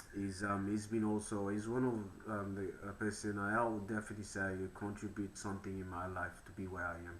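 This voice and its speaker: Audible room echo surrounds a man with a fairly low pitch who talks at a fairly quick pace with hardly any pauses and a monotone, flat intonation. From Papua New Guinea. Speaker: podcast host. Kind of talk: casual interview chat.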